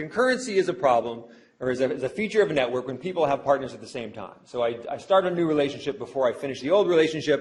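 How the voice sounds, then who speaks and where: Over noticeable background noise, a man talks at a very fast pace in a fairly high pitch with very wide pitch swings. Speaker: sociology professor. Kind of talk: lecture. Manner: halting with fillers.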